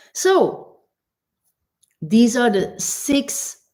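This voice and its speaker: A woman's voice, dark and mellow in tone, comes across somewhat breathy. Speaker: transformational mentor. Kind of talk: motivational talk to camera.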